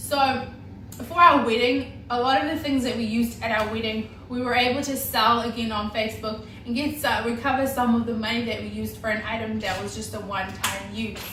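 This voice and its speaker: Over noticeable background noise, a woman with a New Zealand accent talks at a fairly quick pace with hardly any pauses. Her pitch is fairly high and her intonation fairly even. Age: 20s. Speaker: homemaker. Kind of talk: casual talk to camera.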